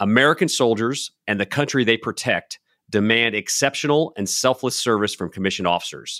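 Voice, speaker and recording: A man at a fairly quick pace, bright and sharp in tone, with a dry, close sound and no echo. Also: very clean recording, silent background. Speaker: podcast host, retired army colonel. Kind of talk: interview.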